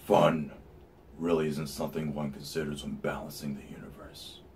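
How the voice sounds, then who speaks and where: In a put-on character voice, a man speaks at a moderate pace with a very deep, low pitch, monotone, flat intonation and big swings in loudness, over clear background noise. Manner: grave, measured.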